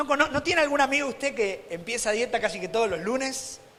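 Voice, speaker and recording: Over noticeable background noise, a man with an Argentine accent talks in an animated tone with lively intonation. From Argentina. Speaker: preacher. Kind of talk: sermon.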